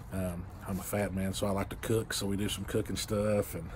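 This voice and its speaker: A man talks fairly quickly in a fairly low, somewhat breathy voice. Light background noise sits behind him. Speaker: vlogger. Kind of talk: casual vlog chat. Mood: relaxed, cheerful. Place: home room. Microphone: phone near.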